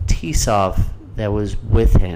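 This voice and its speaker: Over noticeable background noise, a man's intonation stays fairly even. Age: 30s. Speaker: podcast host. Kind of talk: casual chat. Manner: casual, profane.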